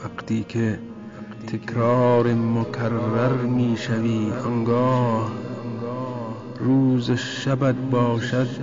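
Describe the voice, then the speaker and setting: A man speaks at a medium pitch in a monotone, flat delivery with very even loudness, very slowly and with long, frequent pauses. Music plays in the background. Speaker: poet. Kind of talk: poetry reading.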